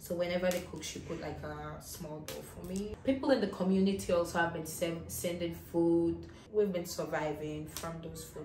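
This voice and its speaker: A woman's fairly low voice at a moderate pace, with ordinary pitch variation, big swings in loudness, audible room echo and light background noise. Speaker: travel vlogger. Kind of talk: casual vlog chat. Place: home room. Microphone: camera far.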